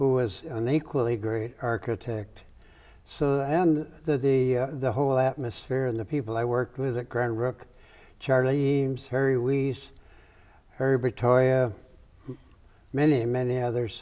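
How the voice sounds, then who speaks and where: A man with an American accent, medium in pitch, dark and mellow in tone, fairly even in intonation, at a moderate pace with long, frequent pauses. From US Midwest, Michigan. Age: 80s+. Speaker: architect. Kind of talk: interview.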